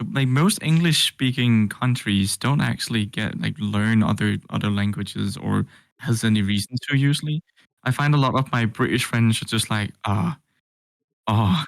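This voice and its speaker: Dry, close sound with no echo from a man with a Danish accent. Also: medium pitch for a man, ordinary pitch variation, moderate pace. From Denmark. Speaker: vtuber. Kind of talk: interview.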